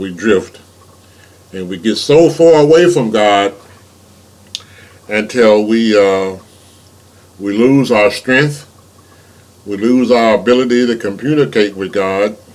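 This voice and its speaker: A man's medium-pitched voice at a very slow pace, ordinary pitch variation, long and frequent pauses, and noticeable background noise. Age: 70s. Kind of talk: informal sermon. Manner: halting, many repeated words.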